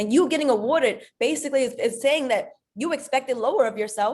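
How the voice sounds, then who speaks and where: A woman with a high pitch sounds animated, her voice showing ordinary pitch variation. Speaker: network marketing leader, motivational speaker. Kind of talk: motivational talk. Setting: group conference call. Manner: animated, emphatic.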